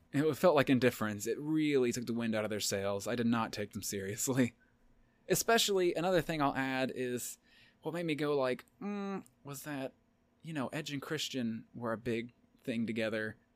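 On a very clean recording with a silent background, a speaker with a Southern US accent talks at a moderate pace with lively intonation. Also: man, medium pitch for a man. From Tennessee. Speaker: podcast co-host. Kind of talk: casual chat.

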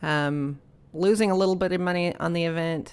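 A woman with an American accent, fairly low pitch, a fairly quick pace, and an ordinary speaking voice. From Dallas-Fort Worth area, Texas. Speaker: photographer and community association president. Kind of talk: casual interview chat. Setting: community center.

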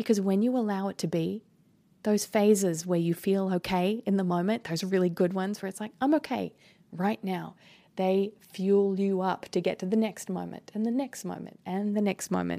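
With fairly even intonation and a dark, mellow tone, a woman at medium pitch speaks at a moderate pace on a very clean recording with a silent background. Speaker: manifestation podcast host. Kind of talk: solo motivational talk.

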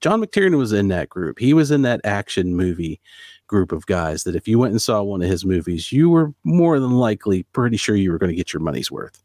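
A man with a fairly low pitch speaks at a fairly quick pace with lively intonation, in an unremarkable speaking voice. The recording is very clean with a silent background and a dry, close sound with no echo. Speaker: podcast host. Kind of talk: casual chat. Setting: home office.

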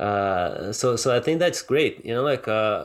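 A man's medium-pitched voice at a moderate pace, with a Portuguese accent. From Brazil, Rio de Janeiro. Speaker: ophthalmologist and martial arts coach. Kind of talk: interview. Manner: halting, many fillers and repetitions.

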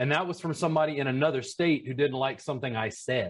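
This man's voice sits fairly high in pitch and comes across as somewhat breathy. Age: 40s. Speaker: massage educator and business consultant. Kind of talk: casual chat.

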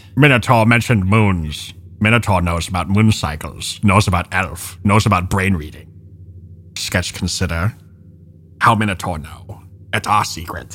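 Putting on a character voice, a man speaks at a moderate pace with a very deep, low pitch in a very clean recording with a silent background. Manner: broken speech, third person about self, paranoid.

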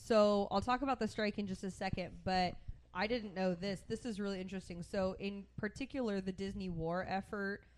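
Here is a woman with a plain, everyday voice. She speaks at a moderate pace with fairly even intonation. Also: medium pitch for a woman. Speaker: podcast co-host. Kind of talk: casual chat.

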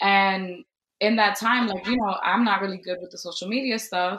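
At a moderate pace, a woman with an American accent talks in an ordinary speaking voice with ordinary pitch variation. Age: 20s. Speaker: teacher. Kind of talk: casual chat.

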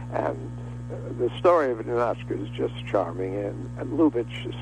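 Fairly slow speech from a man amid noticeable background noise. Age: 80s+. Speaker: television director. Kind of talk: interview.

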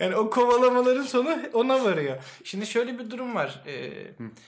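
The speaker keeps a moderate pace and a lively intonation. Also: man. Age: 20s. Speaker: podcast co-host. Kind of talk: casual chat.

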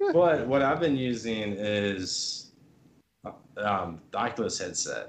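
In a room with audible echo, a man with a medium pitch speaks at a very slow pace with lively intonation. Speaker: gaming content creator. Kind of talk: casual chat.

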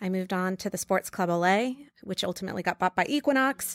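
A woman at a very fast pace, dry and close with no echo. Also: very clean recording, silent background. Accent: American. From New York. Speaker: marketing executive. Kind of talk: interview. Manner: hesitant with many fillers.

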